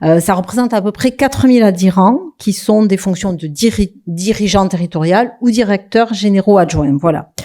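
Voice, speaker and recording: In a Toulouse accent, a woman with a medium pitch and a dark, mellow tone talks with hardly any pauses. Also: ordinary pitch variation, moderate pace. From southwest France, Toulouse. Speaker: local government executive. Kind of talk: conference talk. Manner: hesitant, many fillers.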